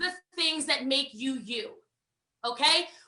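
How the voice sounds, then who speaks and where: The voice is raised and projected, energetic in tone, and bright and sharp. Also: woman. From United States. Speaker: network marketing trainer. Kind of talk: online training session. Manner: fast.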